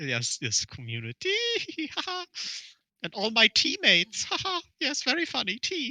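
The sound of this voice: This put-on character voice is squeaky and fairly high in pitch, moving at a moderate pace. It breaks often for long pauses.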